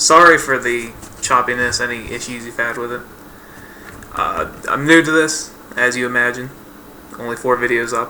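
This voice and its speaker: With fairly even intonation at a medium pitch, a man speaks through noticeable background noise. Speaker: gaming YouTuber. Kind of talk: casual tutorial voice-over. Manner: casual, hesitant with fillers.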